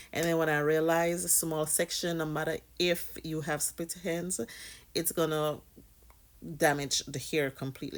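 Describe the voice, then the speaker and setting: In a Jamaican accent, a woman speaks at a moderate pace in a very deep, low pitch with ordinary pitch variation, on a very clean recording with a silent background. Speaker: hair care vlogger, mother. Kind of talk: casual tutorial vlog.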